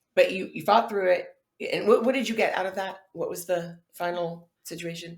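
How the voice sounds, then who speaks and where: A woman talks at a medium pitch with fairly even intonation, somewhat breathy, with big swings in loudness. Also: moderate pace. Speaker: podcast host. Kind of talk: interview questions.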